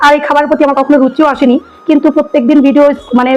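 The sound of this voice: Very fast and high-pitched, a woman speaks with little pitch movement and a slightly mellow tone.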